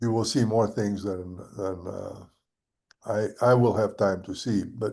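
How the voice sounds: A dark, mellow voice with vocal fry, fairly even intonation and a fairly slow pace. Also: man, fairly low pitch for a man.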